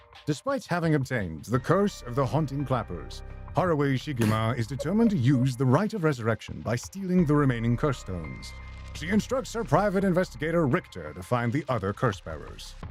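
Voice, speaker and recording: Over music in the background, a man with a fairly high pitch talks at a fairly quick pace, his voice making very wide pitch swings. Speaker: voice actor. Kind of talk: reading game narration aloud.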